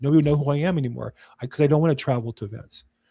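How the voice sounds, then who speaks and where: In a very clean recording with a silent background, a man with an American accent and a fairly high pitch speaks at a very fast pace, his dark, mellow tone somewhat breathy, with ordinary pitch variation. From California. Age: 60s. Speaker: real estate agent. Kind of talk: casual chat. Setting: podcast recording.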